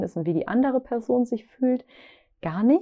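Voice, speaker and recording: Here is a woman with a normal speaking voice. She talks at a moderate pace with lively intonation. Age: 30s. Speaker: podcast host, founder of a lifestyle brand. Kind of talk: solo podcast monologue on self-discovery. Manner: warm, conversational.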